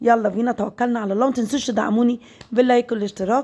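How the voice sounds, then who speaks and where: A woman with an Egyptian accent speaks at a very fast pace. Her voice is fairly high in pitch with a dark, mellow tone. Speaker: home cooking vlogger. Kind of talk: cooking tutorial.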